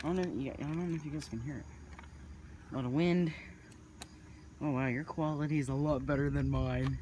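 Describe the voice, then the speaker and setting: The speech comes at a fairly quick pace, with a dry sound free of echo and light background noise. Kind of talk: casual vlog commentary. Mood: tense, hushed excitement. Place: street. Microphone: phone near.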